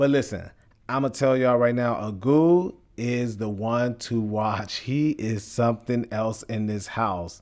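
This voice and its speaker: A man speaks at a medium pitch with ordinary pitch variation. His fairly slow delivery comes through on a very clean recording with a silent background. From Chicago, west side. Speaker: reality TV cast member and podcaster. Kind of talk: casual monologue.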